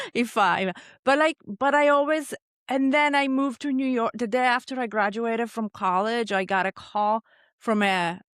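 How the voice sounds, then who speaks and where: A woman with an Italian accent speaks at a moderate pace, her pitch fairly high with ordinary variation. The recording is very clean, with a silent background and a dry, close sound with no echo. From Italy. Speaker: chef. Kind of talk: casual chat.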